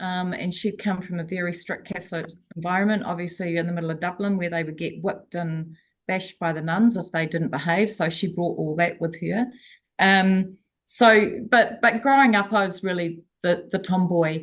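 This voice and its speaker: The delivery holds a moderate pace with fairly even intonation. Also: woman, fairly low pitch for a woman. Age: 60s. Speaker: coaching program participant. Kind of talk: casual chat. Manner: halting.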